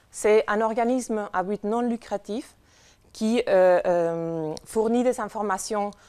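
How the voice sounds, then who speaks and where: Speaking with a non-native accent, a woman shows ordinary pitch variation. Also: quiet background. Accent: foreign accent in French. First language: not French (speaking French). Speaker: conference speaker from a nutrition information organization. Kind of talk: conference talk. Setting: conference with audience. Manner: hesitant, many fillers.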